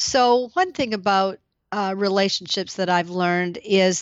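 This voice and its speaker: Her voice sits at a medium pitch. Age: 60s. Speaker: university finance executive. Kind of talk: interview. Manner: halting, many fillers.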